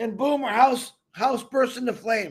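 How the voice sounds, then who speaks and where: This man's voice is loud and extremely high in pitch. He sounds animated. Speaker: online business promoter. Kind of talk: casual livestream chat.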